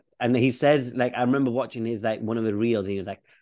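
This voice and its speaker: With a Yorkshire accent, a man talks at medium pitch with ordinary pitch variation. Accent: Yorkshire, northern English. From Leeds, northern England. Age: 20s. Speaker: podcast host. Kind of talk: casual chat. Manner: casual, joking.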